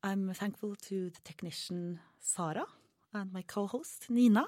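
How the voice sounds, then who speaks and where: A woman speaks with a Norwegian accent. Her tone is dark and mellow. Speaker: student radio host. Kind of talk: live radio interview. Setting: studio.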